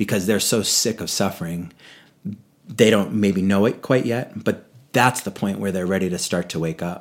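Recorded very cleanly against a silent background, a man with a normal speaking voice talks at a fairly low pitch and moderate pace, with ordinary pitch variation. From New England, Boston area. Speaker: yoga teacher and retreat leader. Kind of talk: casual interview.

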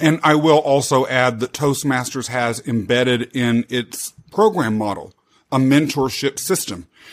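Here is a man with an unremarkable speaking voice and medium pitch. He talks at a fairly slow pace with ordinary pitch variation. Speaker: podcast host. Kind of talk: interview, casual chat.

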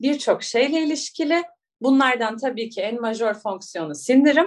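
Speaking at a fairly slow pace, a woman with a high pitch swings her pitch very widely. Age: 30s. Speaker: biologist and astrology coach. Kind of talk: interview conversation. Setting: remote call.

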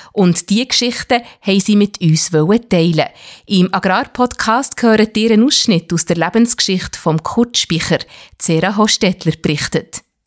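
An ordinary speaking voice at a moderate pace, dry and close with no echo. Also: woman, medium pitch for a woman, ordinary pitch variation, very even loudness. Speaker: podcast host. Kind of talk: scripted narration.

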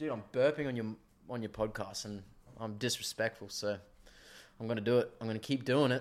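A man speaks at a fairly quick pace with fairly even intonation and long, frequent pauses, on a very clean recording with a silent background. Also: medium pitch for a man. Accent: Australian. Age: 20s. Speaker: tradesman. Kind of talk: casual chat.

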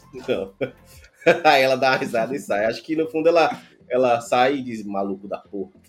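Music in the background behind a man at a medium pitch, talking at a fairly quick pace with long, frequent pauses. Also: lively intonation. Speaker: podcast host, software developer. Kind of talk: casual chat.

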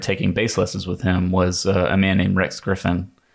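This is a man's voice. It sits very deep and low in pitch. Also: very clean recording, silent background. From US South, North Carolina (Rockingham County). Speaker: jazz guitarist and bandleader. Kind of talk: interview. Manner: hesitant, many fillers.

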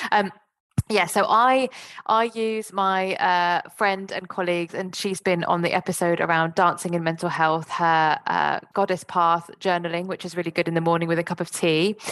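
An ordinary speaking voice moves at a moderate pace with fairly even intonation. The background is quiet. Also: woman, fairly low pitch for a woman. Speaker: podcast host. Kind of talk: podcast interview.

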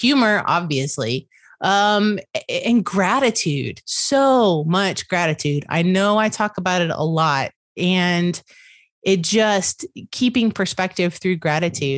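A woman with a Southern US accent and a medium-pitched voice speaks at a very slow pace and very even loudness, the sound dry and close with no echo and the background quiet. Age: 50s. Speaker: podcast host. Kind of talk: casual interview chat.

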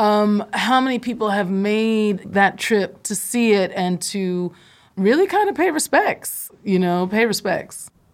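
A woman with an American accent uses a plain, everyday voice, medium in pitch with ordinary pitch variation, at a fairly slow pace, in a very clean recording with a silent background. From Philadelphia. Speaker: podcast co-host. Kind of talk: casual interview conversation.

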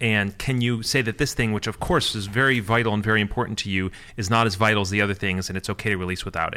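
A man with a Midwestern American accent speaks very fast in a bright, sharp tone with fairly even intonation, on a very clean recording with a silent background. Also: hardly any pauses. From US Midwest (Michigan). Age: 30s. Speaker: programmer and company co-owner. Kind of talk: casual chat.

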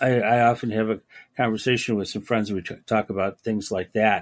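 A man speaks at a moderate pace in a fairly low, monotone voice with flat intonation. The sound is dry and close, with no echo. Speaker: podcast host. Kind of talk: interview, casual conversation.

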